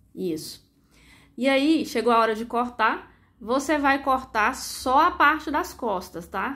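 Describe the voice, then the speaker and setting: In a Brazilian accent, a woman speaks at a fairly slow pace with a bright, sharp tone, on a very clean recording with a silent background. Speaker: sewing youtuber. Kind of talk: tutorial. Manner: casual instructive.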